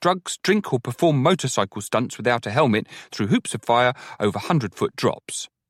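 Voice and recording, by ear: The text is read aloud in a natural-sounding voice.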